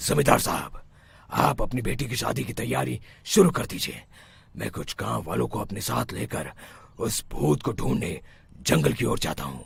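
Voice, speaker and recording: A man's cartoonish character voice, very deep and low, with very wide pitch swings at a moderate pace. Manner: authoritative.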